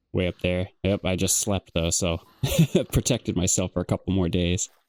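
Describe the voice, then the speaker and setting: A man with a Michigan accent speaks at a moderate pace in a very deep, low pitch, his tone relaxed and calm, his intonation monotone and flat, his loudness very even, the sound dry and close with no echo. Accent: Michigan accent, drops T sounds. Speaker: gaming YouTuber. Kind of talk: casual gameplay commentary. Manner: relaxed, calm.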